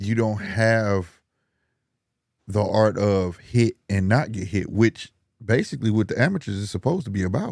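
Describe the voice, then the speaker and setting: An ordinary speaking voice at a moderate pace with ordinary pitch variation comes through a very clean recording with a silent background. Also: man, fairly low pitch for a man. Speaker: boxing podcaster. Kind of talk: casual chat.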